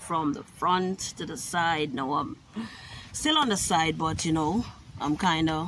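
A woman's fairly low voice with ordinary pitch variation at a fairly slow pace, dry with no echo, over noticeable background noise. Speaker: vlogger. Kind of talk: casual vlog chat. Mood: relaxed, a bit weary. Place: garden. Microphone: phone near.

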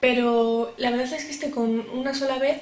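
Audible room echo fills the space. A woman talks with fairly even intonation. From Spain. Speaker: beauty YouTuber. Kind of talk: product review vlog. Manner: cheerful, chatty. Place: home room. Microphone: camera far.

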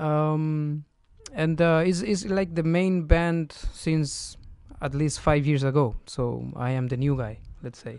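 Very slowly and with a Spanish accent, a man speaks at a fairly high pitch with ordinary pitch variation, the sound dry with no echo and the background quiet. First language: Spanish (speaking Romanian). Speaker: guest. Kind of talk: interview. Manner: halting. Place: studio. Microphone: studio mic.

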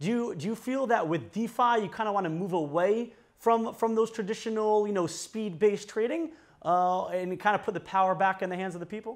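A man talks at a fairly quick pace, and the background is quiet. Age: 20s. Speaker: news channel interviewer. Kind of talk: interview. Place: studio.

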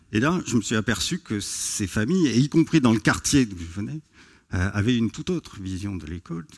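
Against a quiet background, a man speaks at a fairly quick pace. His fairly low pitch moves in very wide swings. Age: 50s. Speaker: sociology professor. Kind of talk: conference talk. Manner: hesitant with fillers. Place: stage. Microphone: headset.

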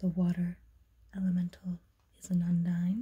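A woman whispers at a fairly slow pace. Her voice is somewhat breathy. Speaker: tarot reader. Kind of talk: ASMR tarot reading. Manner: whispered. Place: home room. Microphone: phone near.

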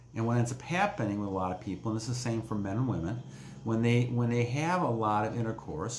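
Over light background noise with audible room echo, a man speaks at a fairly quick pace with ordinary pitch variation. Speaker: self-help vlogger. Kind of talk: casual vlog chat. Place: home room. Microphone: phone near.

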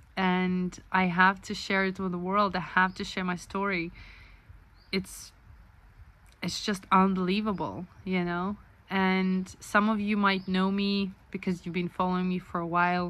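A woman speaks at a fairly slow pace in a flat, monotone way. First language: not English. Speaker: author and vlogger. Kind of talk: casual video blog monologue. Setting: self-recorded video. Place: home room. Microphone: phone near.

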